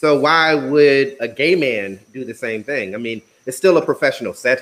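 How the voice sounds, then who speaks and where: A plain, everyday voice moves at a moderate pace with ordinary pitch variation and big swings in loudness. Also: man. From US South. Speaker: podcast host. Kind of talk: casual conversation.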